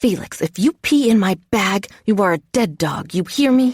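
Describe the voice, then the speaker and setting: A woman's put-on character voice, whispering and growling at a moderate pace, its loudness very even. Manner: growling whisper; threatening.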